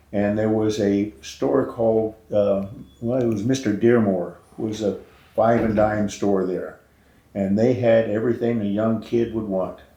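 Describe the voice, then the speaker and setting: Speaking at a fairly slow pace, a voice with an American accent and a dark, mellow tone carries audible room echo. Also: man, fairly low pitch for a man, fairly even intonation. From US West, California Central Valley. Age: 70s. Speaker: rancher and Vietnam-era veteran. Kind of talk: oral history interview. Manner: halting, many fillers.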